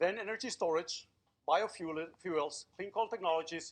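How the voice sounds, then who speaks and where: A man with a high pitch, a fairly quick pace, and a quiet background. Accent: Spanish. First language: Spanish. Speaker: robotics professor. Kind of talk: public lecture.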